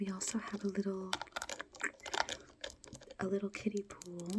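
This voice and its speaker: A soft-spoken woman talks in a gentle tone at medium pitch, her intonation monotone and flat. Noticeable background noise runs underneath. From United Kingdom. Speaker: ASMR creator. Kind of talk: ASMR soft-spoken talk to camera. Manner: soft-spoken, gentle.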